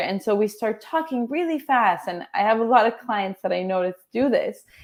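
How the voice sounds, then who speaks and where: A woman with a plain, everyday voice speaks at a moderate pace in a fairly high pitch with lively intonation, on a very clean recording with a silent background. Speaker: transformational coach. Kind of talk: interview.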